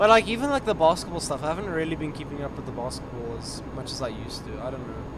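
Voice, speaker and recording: A man's fairly high voice at a very fast pace with hardly any pauses, very wide pitch swings and big swings in loudness, over noticeable background noise. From South Africa. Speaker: gaming streamer. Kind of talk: casual chat. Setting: video call.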